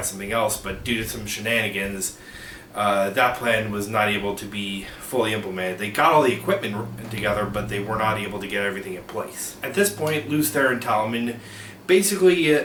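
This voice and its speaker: Fairly quick talking amid noticeable background noise and audible room echo. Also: man. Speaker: book video creator. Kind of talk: informal explainer monologue. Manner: halting, many filler uh's and restarts.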